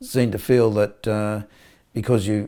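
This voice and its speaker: Fairly low in pitch with a dark, mellow tone, a man with an Australian accent speaks at a fairly slow pace in a monotone, flat intonation. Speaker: polio survivor and advocate. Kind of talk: interview testimony. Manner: halting, many repetitions.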